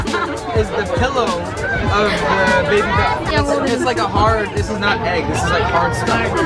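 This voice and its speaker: Over loud background music, a man talks at a fairly slow pace. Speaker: food vlogger. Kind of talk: casual vlog chat. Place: market. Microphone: phone near.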